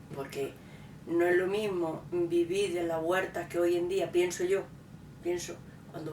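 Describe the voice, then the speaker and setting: Audible room echo surrounds a woman with a fairly low pitch. She speaks at a fairly slow pace. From Andalusia, Córdoba province. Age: 60s. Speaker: local resident sharing memories. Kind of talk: oral history interview.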